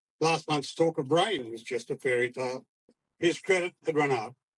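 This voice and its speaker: A man with an Australian accent talks at a moderate pace in a fairly high pitch, recorded with a dry, close sound and no echo. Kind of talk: poetry reading. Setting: outdoors.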